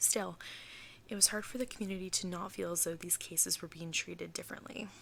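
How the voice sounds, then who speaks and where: A soft-spoken woman at a fairly low pitch and a very fast pace, with vocal fry and ordinary pitch variation. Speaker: ASMR creator. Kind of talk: true crime storytelling.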